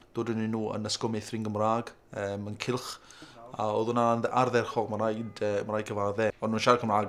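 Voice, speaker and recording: Monotone and flat, a man's fairly low-pitched voice moves at a fairly quick pace. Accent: South Welsh. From Wales, Carmarthenshire. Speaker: parent. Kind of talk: interview.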